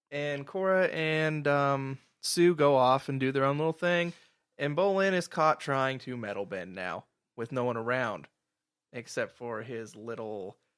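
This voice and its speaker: A man with a normal speaking voice, pitched fairly high, speaks with lively intonation at a fairly slow pace in a very clean recording with a silent background. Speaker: podcast host. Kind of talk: casual podcast talk.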